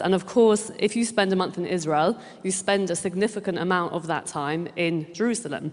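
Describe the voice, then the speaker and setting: A woman with a British accent speaks in a passionate tone at a fairly low pitch, with ordinary pitch variation and a moderate pace. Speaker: director of an advocacy group. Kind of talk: conference speech. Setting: stage with audience.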